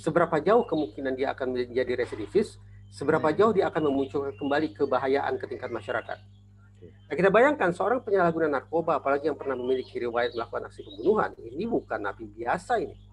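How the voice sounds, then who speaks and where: A man at a very fast pace, very wide pitch swings, and light background noise. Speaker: guest. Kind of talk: interview answer. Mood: serious, concerned. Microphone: earbuds.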